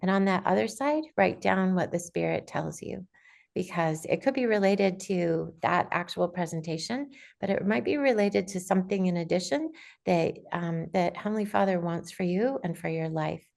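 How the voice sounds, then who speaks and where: With lively intonation, a woman talks at a moderate pace and medium pitch in an ordinary speaking voice. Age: 60s. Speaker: aspiring writer, conference speaker. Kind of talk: informational talk on video call. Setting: video call.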